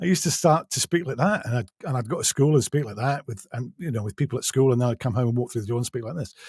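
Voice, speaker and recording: On a very clean recording with a silent background and a dry, close sound with no echo, a man with an English accent speaks at a very fast pace in a somewhat breathy voice with lively intonation. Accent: English (Received Pronunciation-like). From England. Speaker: audiobook narrator. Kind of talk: interview.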